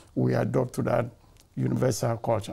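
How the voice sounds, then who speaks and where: A man's fairly low, dark, mellow voice with very wide pitch swings and vocal fry, against a quiet background. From Ghana. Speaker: community elder; podcast guest. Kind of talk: testimony. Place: studio. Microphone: lapel.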